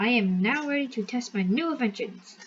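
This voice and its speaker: A woman puts on a character voice. She speaks at a fairly quick pace. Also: fairly high pitch for a woman. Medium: read story. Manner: boastful, bossy.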